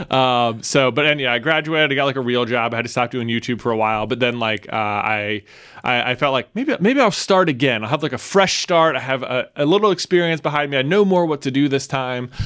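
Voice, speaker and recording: At a fairly quick pace with hardly any pauses, a man with an ordinary speaking voice and a medium pitch talks with ordinary pitch variation. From Roanoke, Virginia. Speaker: YouTube content creator. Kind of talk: casual interview.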